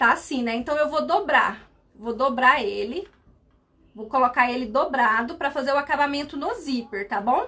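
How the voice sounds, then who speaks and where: A woman's raised, projected voice, high-pitched with a bright, sharp tone, at a moderate pace. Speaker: sewing instructor, seamstress. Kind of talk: live sewing tutorial.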